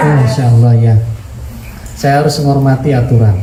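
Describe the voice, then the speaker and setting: A man talks at a fairly quick pace and medium pitch. Noticeable background noise and audible room echo surround him. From West Java. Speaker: Islamic preacher. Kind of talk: religious lecture. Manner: animated. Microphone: voice muffled by face mask.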